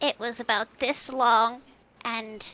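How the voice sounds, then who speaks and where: A female-sounding, put-on character voice delivers its lines in a monotone, flat intonation. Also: fairly high pitch for a woman. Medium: actual play. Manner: refers to herself in third person.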